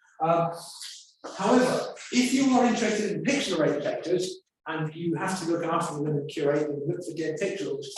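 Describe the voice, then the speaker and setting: A man speaks at a fairly quick pace with a high pitch and ordinary pitch variation. The room echo is audible. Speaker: conference speaker. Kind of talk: conference talk. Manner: fast.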